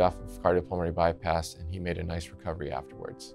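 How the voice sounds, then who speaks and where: Over clear background music, a man with a very deep, low pitch talks at a very fast pace. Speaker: transplant surgeon. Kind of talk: interview answer. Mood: calm, professional. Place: hall. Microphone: lapel.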